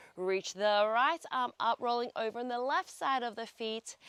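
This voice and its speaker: An upbeat woman with an Australian accent, fairly high-pitched with ordinary pitch variation, at a fairly slow pace, in a dry, close sound with no echo. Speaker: pilates instructor. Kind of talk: guided workout instruction. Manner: upbeat, encouraging.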